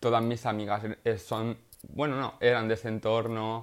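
A man talks with fairly low pitch at a moderate pace. He has an ordinary speaking voice. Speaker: podcaster and art student. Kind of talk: casual monologue.

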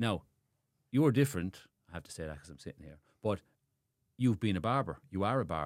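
Fairly quick speech in a Limerick accent with very wide pitch swings, big swings in loudness and long, frequent pauses on a very clean recording with a silent background. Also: man, very deep, low pitch for a man. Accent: Irish (Limerick). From Ireland, Limerick. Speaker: barber and barbershop owner. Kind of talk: casual interview chat.

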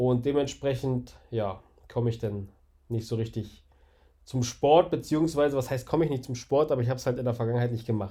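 On a very clean recording with a silent background, a man talks at a fairly quick pace in a somewhat breathy, dark, mellow tone of medium pitch with ordinary pitch variation. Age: 30s. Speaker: podcaster. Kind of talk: casual monologue.

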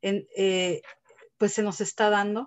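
A woman with an unremarkable speaking voice talks fairly slowly at medium pitch, her intonation fairly even. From Texas, Mexican family from Guanajuato. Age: 30s. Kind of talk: testimony.

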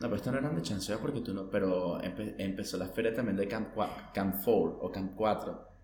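A man with a Venezuelan accent talks at a moderate pace and a fairly low pitch, with ordinary pitch variation and hardly any pauses. Audible room echo and noticeable background noise fill the recording. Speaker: podcast co-host. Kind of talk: casual chat.

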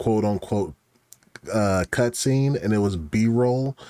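A man's fairly low voice, an ordinary speaking voice with ordinary pitch variation at a fairly slow pace. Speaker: podcast guest. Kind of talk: casual banter.

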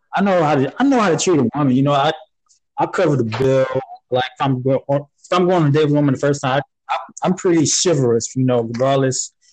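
A man with an ordinary speaking voice talks at a fairly quick pace and fairly high pitch, with ordinary pitch variation and very even loudness. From Florida, Panama City. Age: 20s. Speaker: military veteran. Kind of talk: casual chat.

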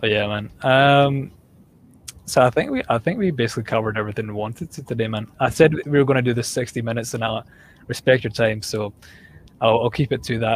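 Here a man talks at a very fast pace. His pitch is medium, with ordinary pitch variation. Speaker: fitness podcast host. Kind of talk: casual chat.

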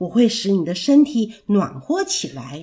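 A woman speaks in a gentle, warm tone. Her pitch swings very widely. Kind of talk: children's bedtime story narration. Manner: gentle, warm and sing-song, with a playful storyteller's lilt.

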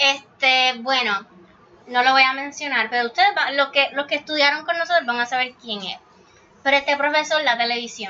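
Raised, projected voice of a woman at a high pitch, ordinary pitch variation and a moderate pace, with noticeable background noise. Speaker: podcast co-host. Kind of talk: casual chat.

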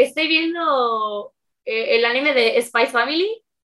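Very slowly, a woman speaks in a raised, projected voice with very wide pitch swings. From Mexico, Veracruz. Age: 20s. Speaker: streamer and youtuber. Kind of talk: casual interview.

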